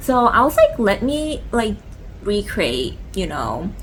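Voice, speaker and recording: Noticeable background noise fills the recording. A woman speaks at a fairly slow pace. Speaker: lifestyle vlogger. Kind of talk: casual chat. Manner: halting, many fillers; stuttering a little from cold.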